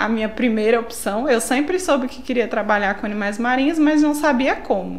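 Speaking in a northeastern Brazilian accent at a fairly high pitch with ordinary pitch variation, a woman is heard through noticeable background noise and audible room echo. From São Paulo, Brazil. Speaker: biologist. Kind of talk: casual interview.

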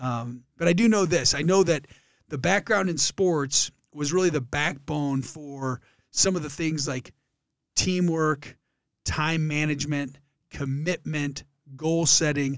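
This man has a fairly high pitch and ordinary pitch variation, with a Michigan accent. The recording is very clean, with a silent background. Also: fairly slow pace. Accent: Midwestern American (Michigan). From Detroit area, Michigan. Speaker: former college football player, charity founder. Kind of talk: casual interview. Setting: podcast studio.

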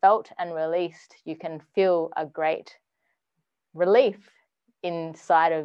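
A woman speaks with an Australian accent and fairly even intonation. Her pitch is fairly low. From Western Australia. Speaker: music producer and artist. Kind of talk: casual interview.

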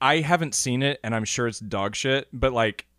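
A man with an ordinary speaking voice talks at a fairly quick pace with lively intonation. The sound is dry and close with no echo, on a very clean recording with a silent background. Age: 20s. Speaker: film podcast host and theatre director. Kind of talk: casual chat.

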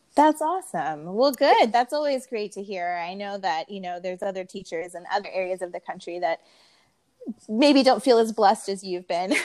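At a medium pitch and moderate pace, a woman with a plain, everyday voice speaks with lively intonation. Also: big swings in loudness. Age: 30s. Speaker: podcast host, art teacher. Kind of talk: casual interview.

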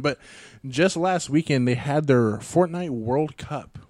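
In an ordinary speaking voice, this man talks at a moderate pace. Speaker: podcast host. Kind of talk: casual banter podcast. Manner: joking, playful.

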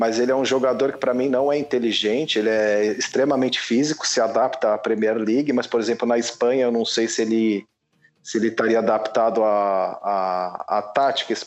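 A man's voice with music in the background. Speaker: football podcast panelist. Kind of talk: casual chat. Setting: virtual recording session.

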